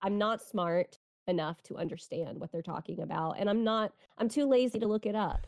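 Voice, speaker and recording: A woman's fairly high-pitched voice, an ordinary speaking voice, with lively intonation at a moderate pace, dry and close with no echo. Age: 30s. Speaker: anime podcast co-host, streamer. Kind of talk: casual chat.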